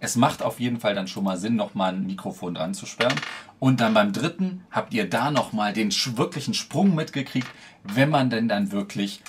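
A man's voice at a moderate pace, with light background noise. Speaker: tech reviewer. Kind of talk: casual review vlog. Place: home room.

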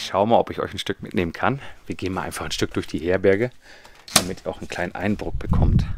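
Talking at a very fast pace in a very deep, low voice with ordinary pitch variation, the man is heard dry with no echo but over loud background noise. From western Germany, Münsterland (Kreis Borken, NRW); North Rhine-Westphalia, Germany. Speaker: travel vlogger on a long-distance hike; pilgrim vlogger. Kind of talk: casual travel vlog talk to camera; casual vlog tour. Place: hall. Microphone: phone near.

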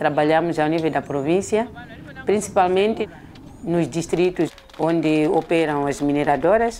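Noticeable background noise sits behind a woman's very deep, low voice. She talks at a moderate pace with ordinary pitch variation. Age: 50s. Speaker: women's association coordinator. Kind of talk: interview.

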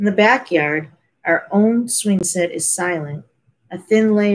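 A natural voice reads aloud with ordinary pitch variation, and the background is quiet.

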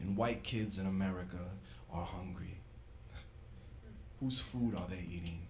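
A man speaks with a very deep, low pitch. Long, frequent pauses break up his words over light background noise. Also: ordinary pitch variation, moderate pace. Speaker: rapper and spoken word poet. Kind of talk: spoken word poetry performance. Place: stage. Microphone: handheld.

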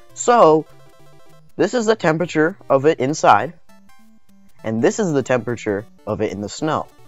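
Long, frequent pauses over music playing in the background. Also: moderate pace. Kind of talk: casual tech video narration.

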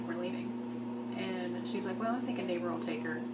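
Amid loud background noise, a woman's words come out fairly quickly. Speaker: video blogger. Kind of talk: video diary monologue. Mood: wry, reflective, self-deprecating. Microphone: phone near.

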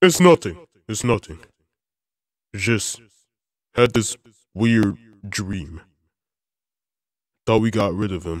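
A man uses a put-on character voice at a fairly low pitch. He speaks at a fairly slow pace with long, frequent pauses. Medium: machinima. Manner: timid, hesitant.

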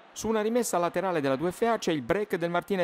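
A man's high-pitched, animated, playful voice at a very fast pace, dry and close with no echo, in a very clean recording against a silent background. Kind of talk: sports commentary over match highlights, scripted-sounding voiceover. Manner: animated, fast-paced, playful and ironic, with dramatic flourishes and local colour.

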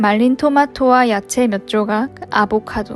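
Music in the background behind a woman's fairly high voice, ordinary pitch variation, very slow pace. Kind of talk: food review narration.

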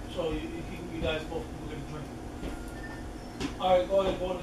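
A man is speaking. Audible room echo and loud background noise surround his voice. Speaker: prank vlogger. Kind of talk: casual vlog chat. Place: kitchen. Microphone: camera far.

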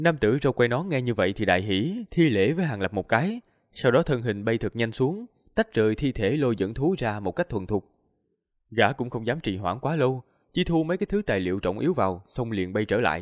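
A man talks at a fairly quick pace with very wide pitch swings. The sound is dry with no echo, over a quiet background. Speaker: audiobook narrator. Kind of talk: story reading narration. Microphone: studio mic.

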